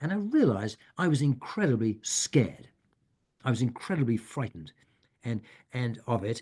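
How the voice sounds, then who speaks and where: A somewhat breathy man at a medium pitch, fairly quick, with lively intonation. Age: 70s. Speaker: guest speaker on death and dying. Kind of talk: Q&A session in online meeting. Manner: halting, many restarts.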